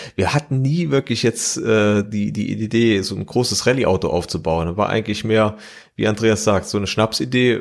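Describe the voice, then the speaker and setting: This is a man with a normal speaking voice, fairly low in pitch, at a moderate pace. His pitch varies in an ordinary way, and the recording is very clean with a silent background. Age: 30s. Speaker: mechanical engineer and rally driver. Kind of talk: interview.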